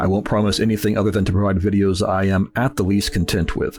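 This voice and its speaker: With music in the background, a man talks very fast in a fairly low, flat, monotone voice. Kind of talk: scripted intro voiceover. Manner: relaxed, calm.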